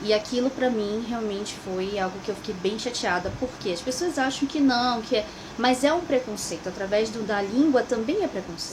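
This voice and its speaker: A woman with a Brazilian accent talks at a moderate pace in a calm tone and a fairly high pitch with ordinary pitch variation, against noticeable background noise. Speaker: immigrant vlogger. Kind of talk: personal vlog monologue.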